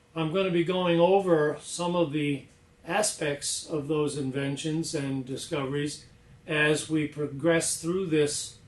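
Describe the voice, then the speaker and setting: Against noticeable background noise, a man talks at a fairly slow pace with a fairly high pitch and fairly even intonation. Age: 60s. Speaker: inventor. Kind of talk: demonstration presentation. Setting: lab.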